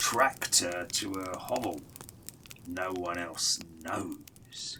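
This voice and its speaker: Over clear background noise, a man puts on a character voice at a very deep, low pitch and a very slow pace. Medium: read story. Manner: hesitant, stammering.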